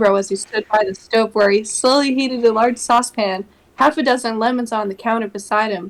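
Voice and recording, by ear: Someone is reading aloud in a natural voice. The clip offers just that.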